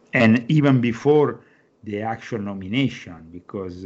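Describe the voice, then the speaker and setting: A man with an Italian accent at a moderate pace. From Rome, Italy. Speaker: author and Vatican correspondent. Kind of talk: interview.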